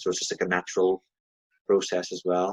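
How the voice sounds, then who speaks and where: A man talks fairly quickly, and the sound is dry and close with no echo at all. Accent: Northern Irish. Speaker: podcast host. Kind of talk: interview question.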